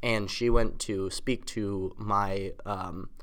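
A man with an American accent speaks at a fairly low pitch. His intonation is flat and monotone. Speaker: college student, former podcast host. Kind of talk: casual chat.

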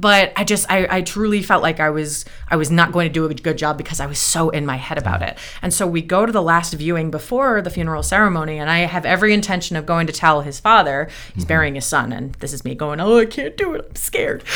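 A bubbly woman with an American accent, very fast pace and ordinary pitch variation. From US East Coast. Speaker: retired opera singer turned coach. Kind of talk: casual interview chat. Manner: fast talker, bubbly, high energy.

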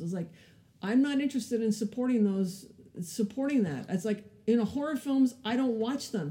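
Using an American accent, a woman talks at a fairly quick pace with lively intonation. Her tone is dark and mellow, and somewhat breathy. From California, French Canadian family. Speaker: film producer. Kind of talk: interview.

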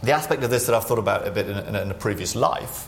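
Over noticeable background noise, a man talks in a fairly low pitch. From northeast England. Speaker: central bank economist. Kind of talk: public interview with audience Q&A. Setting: stage with audience.

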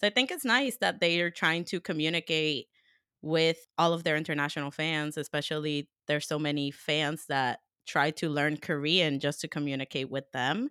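A Spanish accent at a moderate pace with ordinary pitch variation, in a very clean recording with a silent background and a dry, close sound with no echo. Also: woman, very deep, low pitch for a woman. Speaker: podcast co-host and interviewer. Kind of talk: casual chat.

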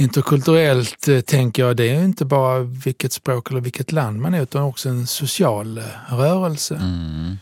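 A man at medium pitch and moderate pace, with a normal speaking voice, lively intonation and hardly any pauses. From southern Italy. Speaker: podcast host. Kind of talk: casual conversation. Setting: studio.

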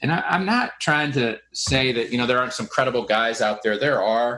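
A man with a plain, everyday voice speaks at a medium pitch with ordinary pitch variation. The recording is very clean, with a silent background. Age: 40s. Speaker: podcast host, window cleaning business owner. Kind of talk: casual interview chat.

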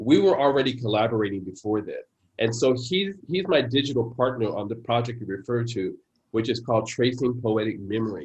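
The speaker talks at a fairly quick pace in a somewhat breathy voice with ordinary pitch variation. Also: man, medium pitch for a man. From San Francisco, US. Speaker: poet. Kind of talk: interview conversation.

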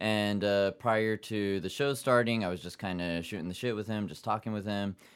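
A man with an unremarkable speaking voice talks at a moderate pace in a fairly low register with ordinary pitch variation. The recording is very clean, with a silent background. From Japan (Yokohama), half Japanese half German-American. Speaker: actor and comedy stage show host. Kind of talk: casual chat.

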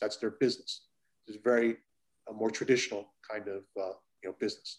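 A man's fairly low voice with an American accent and monotone, flat intonation. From United States. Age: 50s. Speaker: comic art dealer and collector. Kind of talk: interview conversation.

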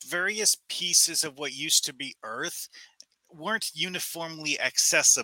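The voice has a bright, sharp tone and lively intonation at a moderate pace. The sound is dry and close, with no echo. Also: man. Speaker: caller. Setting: video call.

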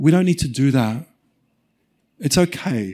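Speaking at a moderate pace in an Australian accent, the voice has a dark, mellow tone. The recording is very clean, with a silent background. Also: man. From Australia, rural Victoria (Mount Beauty). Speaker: refugee advocate and author. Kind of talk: live festival conversation. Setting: stage with audience.

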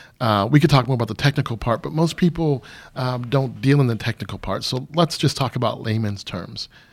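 A man with an American accent and vocal fry speaks fairly quickly at a medium pitch with ordinary pitch variation. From Michigan. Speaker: pastor and counselor. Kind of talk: interview.

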